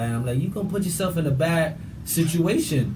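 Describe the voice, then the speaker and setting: A man talks with a New York accent and ordinary pitch variation. Audible room echo surrounds his voice. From New York, Brooklyn (Bushwick). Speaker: show guest. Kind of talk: casual chat. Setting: studio. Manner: loud.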